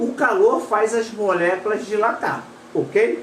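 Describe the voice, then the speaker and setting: A woman speaks at a medium pitch. Room echo is audible, and background noise is noticeable. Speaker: paragliding instructor. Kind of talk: live stream lesson. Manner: casual, halting.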